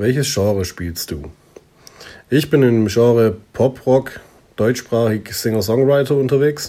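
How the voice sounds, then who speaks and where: A man speaks with a dark, mellow tone at medium pitch and ordinary pitch variation. His pace is very slow, broken by long, frequent pauses. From southern Germany, near Stuttgart. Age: 20s. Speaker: singer-songwriter. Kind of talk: self-interview. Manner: casual.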